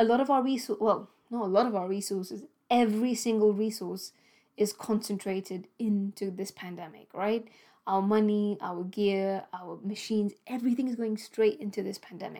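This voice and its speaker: Fairly even intonation marks this woman's dark, mellow voice with a British accent, on a very clean recording with a silent background. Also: medium pitch for a woman, moderate pace. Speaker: doctor and podcast host. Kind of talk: monologue podcast, personal storytelling. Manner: emphatic and urgent, indignant; conversational, with frequent filler words and self-corrections.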